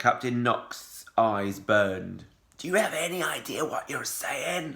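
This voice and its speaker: A man's put-on character voice, growling, raspy and gruff, at a medium pitch and a fairly slow pace. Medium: read story. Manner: gruff, growling.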